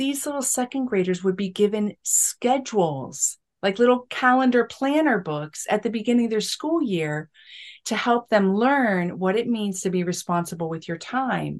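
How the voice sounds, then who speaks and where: Over a quiet background, a woman with an ordinary speaking voice talks at a moderate pace, her fairly high pitch carrying lively intonation. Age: 50s. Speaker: spiritual teacher and author. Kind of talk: casual chat. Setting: podcast interview.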